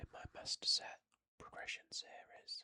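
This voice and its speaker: Whispering with a British accent, a man speaks in a calm tone at a very slow pace, the sound dry and close with no echo. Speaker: pokemon card collector. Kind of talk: casual talk to camera. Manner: soft-spoken, slow, calm.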